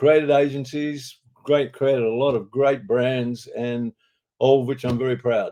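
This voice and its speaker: Against a quiet background, a man with an Australian accent speaks fairly slowly at medium pitch, his tone dark and mellow and his intonation fairly even. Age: 80s+. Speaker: advertising executive and author. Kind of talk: interview. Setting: studio.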